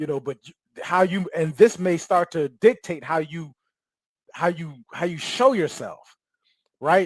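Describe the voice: In a dry, close sound with no echo, a man with a fairly high pitch and a slightly husky edge speaks at a moderate pace with lively intonation.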